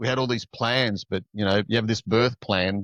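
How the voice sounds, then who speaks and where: A man's flat, monotone voice, dry and close with no echo. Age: 60s. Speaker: shadow work coach. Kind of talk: casual interview chat. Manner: halting, many fillers.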